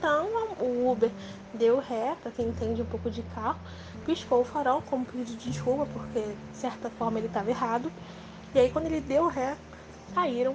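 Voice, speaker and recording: A woman talks at a moderate pace, leaving long, frequent pauses. Noticeable background noise runs underneath. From Rio de Janeiro, Brazil. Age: 20s. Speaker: near-death experience survivor. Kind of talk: testimony.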